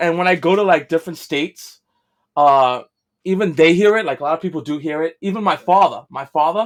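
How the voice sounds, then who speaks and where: Fairly quick speech on a very clean recording against silence. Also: man. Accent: strong New York. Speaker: podcast co-host. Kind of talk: casual chat. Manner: animated.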